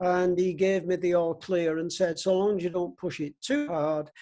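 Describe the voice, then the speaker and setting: A man talks at a moderate pace in a high pitch with a dark, mellow tone and fairly even intonation. The recording is very clean, with a silent background. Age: 80s+. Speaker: parish choir member and long-distance runner. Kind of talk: interview answer.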